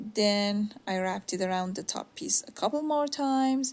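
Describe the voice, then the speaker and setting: The speaker is a woman with a medium pitch. Her fairly slow delivery sounds somewhat breathy. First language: not English (third language). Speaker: DIY home decor creator. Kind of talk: tutorial voice-over narration. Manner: casual, somewhat halting with fillers.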